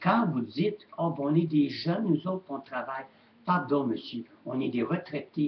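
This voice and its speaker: A man with a Quebec accent speaks slowly, at a fairly high pitch. There is noticeable background noise. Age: 70s. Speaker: retired shop owner vlogger. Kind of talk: webcam rant. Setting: webcam at home. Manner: animated.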